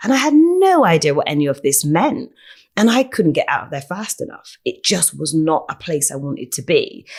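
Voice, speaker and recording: In a very clean recording with a silent background, a woman with a Bristol accent talks at a moderate pace. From England, Bristol (Easton). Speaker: educator and speaker. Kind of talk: interview.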